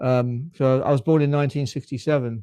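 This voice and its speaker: A man speaks in a fairly high voice with monotone, flat intonation. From UK. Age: 50s. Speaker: ex-army livestreamer. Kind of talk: live stream chat. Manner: halting, many fillers.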